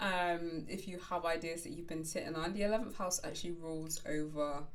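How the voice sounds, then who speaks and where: Heard with audible room echo, a woman speaks at a moderate pace in a fairly low pitch. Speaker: astrologer. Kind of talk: horoscope reading. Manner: conversational with fillers.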